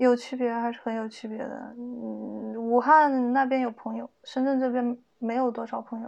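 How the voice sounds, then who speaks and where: A woman's high voice at a moderate pace, monotone and flat in intonation. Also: big swings in loudness. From China, Hubei province. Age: 30s. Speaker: HR worker and stand-up comedian. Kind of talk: casual chat.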